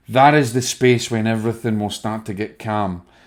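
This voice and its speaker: A man with a Scottish accent, fairly low pitch, fairly even intonation and a moderate pace, in a very clean recording with a silent background. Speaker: spiritual medium. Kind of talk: video talk to viewers.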